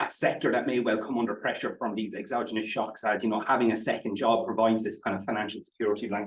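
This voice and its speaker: A man with an Irish Midlands accent talks at a very fast pace. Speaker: statistician presenting research. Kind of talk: conference presentation. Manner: halting, frequent repetitions and fillers.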